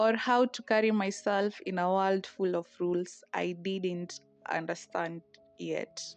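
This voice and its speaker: Over music in the background, a woman talks at a fairly slow pace and medium pitch with fairly even intonation. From Kenya, Tala. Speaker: storyteller vlogger. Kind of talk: personal narration. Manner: reflective.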